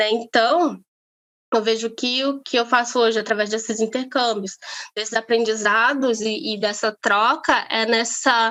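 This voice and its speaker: Her tone is bright and sharp as a woman speaks with fairly even intonation. She keeps a fairly slow pace. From Brazil, Amazonas. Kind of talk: interview conversation. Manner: halting, many fillers.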